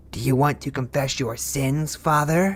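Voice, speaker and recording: A man puts on a hissing, menacing character voice at a medium pitch. He keeps a moderate pace and fairly even intonation. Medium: cartoon. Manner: menacing, hissing, mocking.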